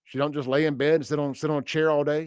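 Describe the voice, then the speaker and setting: A man with a Southern US accent talks at a fairly quick pace and fairly high pitch. The sound is dry and close with no echo, in a very clean recording with a silent background. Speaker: radio host. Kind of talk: talk radio monologue. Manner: casual, halting.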